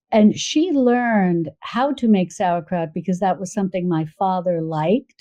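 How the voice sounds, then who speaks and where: A woman with an American accent speaks at a moderate pace with hardly any pauses, her medium-pitched, unremarkable speaking voice carrying lively intonation. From US Northeast, New York suburbs. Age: 60s. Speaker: cooking video creator and cookbook author. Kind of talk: podcast interview.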